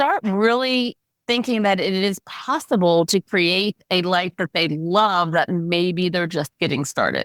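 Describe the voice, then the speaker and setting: An ordinary speaking voice from a woman at medium pitch, with ordinary pitch variation, fairly slow pace, hardly any pauses and very even loudness, in a dry, close sound with no echo on a very clean recording with a silent background. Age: 60s. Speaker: aspiring speaker and life coach for women. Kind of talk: coaching session.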